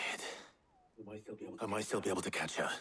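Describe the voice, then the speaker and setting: A man puts on a raspy character voice at a fairly low pitch. He talks at a moderate pace. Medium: video game. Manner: calm, measured.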